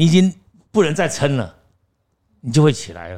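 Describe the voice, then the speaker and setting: An animated man speaks at a fairly high pitch. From Taiwan. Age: 60s. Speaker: actor and acting teacher. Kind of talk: interview storytelling.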